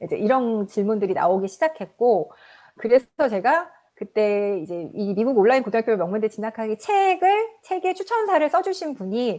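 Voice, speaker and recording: A woman's dark, mellow voice with very wide pitch swings. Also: fairly high pitch for a woman, moderate pace. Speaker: author. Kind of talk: interview. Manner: halting, many fillers.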